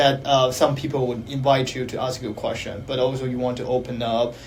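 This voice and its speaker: A man is heard in a room with audible echo. Noticeable background noise runs underneath. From China. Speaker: counseling psychology PhD student. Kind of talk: panel discussion. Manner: halting, many fillers.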